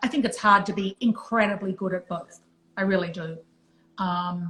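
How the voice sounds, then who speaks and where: With a non-native accent, a woman speaks at a moderate pace in a medium pitch with fairly even intonation. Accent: foreign. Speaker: retired music industry executive. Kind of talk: casual chat.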